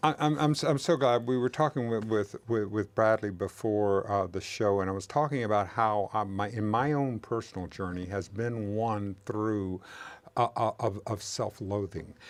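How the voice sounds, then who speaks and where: A man with a Southern US accent talks at a moderate pace with fairly low pitch and ordinary pitch variation. The recording is very clean, with a silent background. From US South. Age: 70s. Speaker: interviewer. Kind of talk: casual chat. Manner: halting.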